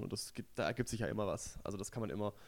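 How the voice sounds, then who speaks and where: Very fast male speech on a very clean recording, the background silent. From southwestern Germany (Stuttgart area). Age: young. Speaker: comedian and magician. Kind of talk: casual interview chat.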